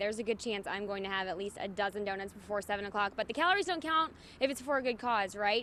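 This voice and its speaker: A woman with an American accent talks very fast at a medium pitch, with ordinary pitch variation. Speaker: evening news anchor. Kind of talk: upbeat morning show field report. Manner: upbeat, energetic.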